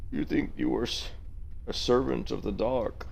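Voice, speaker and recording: Clear background noise under a man doing a put-on character voice at a moderate pace. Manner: menacing, dramatic.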